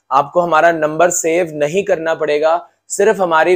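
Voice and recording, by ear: A fairly slow, fairly even-toned man at a fairly high pitch for a man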